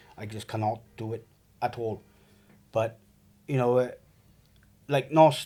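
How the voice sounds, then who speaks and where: With a Welsh accent, a man talks at medium pitch and a moderate pace in a dark, mellow tone. Long, frequent pauses break up his speech, and his loudness swings widely. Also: fairly even intonation. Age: 40s. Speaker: trauma survivor. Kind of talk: testimony. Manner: halting.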